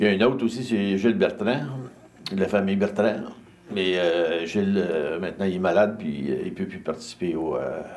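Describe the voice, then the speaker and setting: Amid noticeable background noise and audible room echo, a man speaks at a fairly low pitch and a moderate pace, with ordinary pitch variation. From Montreal, Quebec. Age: 70s. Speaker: community club volunteer. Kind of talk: interview.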